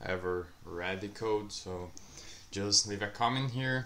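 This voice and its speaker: A man speaks with a non-native accent at a moderate pace. His pitch is fairly low. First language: not English. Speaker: software developer YouTuber. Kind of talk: screen-share coding walkthrough. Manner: halting.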